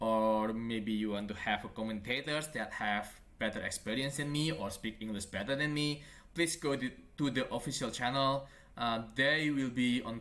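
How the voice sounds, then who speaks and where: In a bright, sharp tone, a man with a non-native accent speaks at a moderate pace. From Indonesia. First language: not English. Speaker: esports caster. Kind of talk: live game commentary. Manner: halting.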